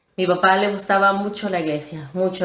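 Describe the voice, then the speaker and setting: Her voice is fairly low, and a woman speaks with monotone, flat intonation. Audible room echo and noticeable background noise are present. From Texas, Houston. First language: English (speaking Spanish). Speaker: former church member interviewee. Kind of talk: testimony.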